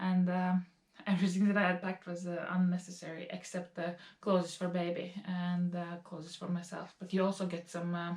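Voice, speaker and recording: A woman with a Latvian accent, fairly low pitch, fairly quick pace and monotone, flat intonation, over noticeable background noise. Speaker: lifestyle vlogger. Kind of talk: casual talk to camera.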